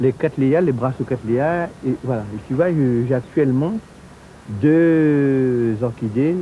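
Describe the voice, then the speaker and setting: A man speaks at a very slow pace and a medium pitch. His loudness stays very even. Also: ordinary pitch variation. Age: 70s. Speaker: orchid grower. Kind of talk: casual chat.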